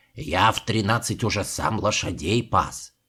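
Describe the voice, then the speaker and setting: Putting on a growling character voice, a man talks at a moderate pace in a fairly low pitch with ordinary pitch variation. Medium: read story. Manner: teasing, jocular.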